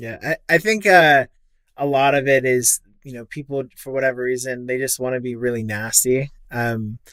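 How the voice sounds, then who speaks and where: A man speaks at a moderate pace with ordinary pitch variation and big swings in loudness. The sound is dry and close, with no echo. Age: 20s. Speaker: podcast co-host. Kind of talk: podcast interview.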